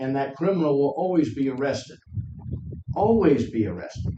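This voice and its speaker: Audible room echo surrounds a loud male voice. He speaks at a moderate pace with a fairly high pitch. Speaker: member of the public, military veteran. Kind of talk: public comment at county meeting. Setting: county commission meeting in courthouse.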